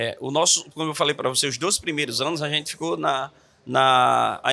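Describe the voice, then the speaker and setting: A man speaks with a northeastern Brazilian accent. His pace is fairly quick. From Natal, Rio Grande do Norte, Brazil. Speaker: pastor and church planter. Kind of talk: podcast interview.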